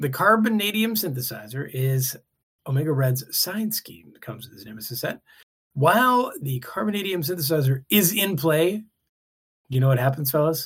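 An animated man's voice with very wide pitch swings and big swings in loudness. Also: fairly high pitch for a man, moderate pace. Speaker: podcast co-host. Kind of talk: casual banter. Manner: animated, joking.

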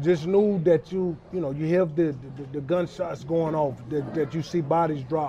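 At a moderate pace, a man talks while noticeable background noise plays behind him. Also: fairly high pitch for a man, fairly even intonation. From West Charlotte, North Carolina. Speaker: former NFL linebacker. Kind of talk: interview.

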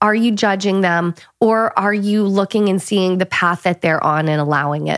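A woman with an American accent speaks in an ordinary speaking voice at a medium pitch, with ordinary pitch variation. The sound is dry and close with no echo, on a very clean recording with a silent background. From northern US. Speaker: podcast co-host, entrepreneur. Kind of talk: casual chat.

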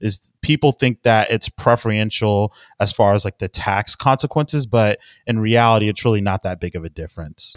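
Recorded very cleanly against a silent background in a dry, close sound with no echo, a man with an American accent and an unremarkable speaking voice talks at medium pitch and a moderate pace with ordinary pitch variation. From Texas, Houston. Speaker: financial planner. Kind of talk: interview. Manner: frequent laughs, repeats words.

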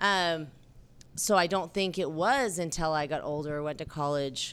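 Using a normal speaking voice, a woman at a fairly low pitch talks at a fairly slow pace with ordinary pitch variation on a very clean recording with a silent background. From southern Utah (St. George). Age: 40s. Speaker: bar co-owner and filmmaker. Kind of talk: casual interview.

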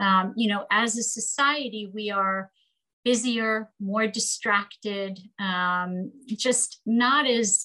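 Her fairly high pitch and bright, sharp tone carry fairly even intonation as the woman speaks. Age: 50s. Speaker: psychoanalyst and parenting author. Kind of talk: interview. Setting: video call.

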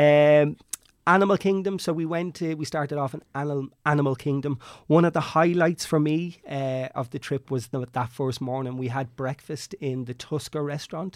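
With an Irish accent, a man speaks at fairly high pitch and a moderate pace, his intonation fairly even, in a dry, close sound with no echo. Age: 30s. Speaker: travel agent. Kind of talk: casual chat.

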